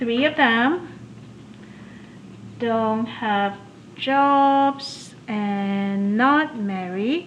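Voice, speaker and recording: A woman's fairly high voice with ordinary pitch variation, a very slow pace, long, frequent pauses and audible room echo. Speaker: math instructor. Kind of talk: lecture.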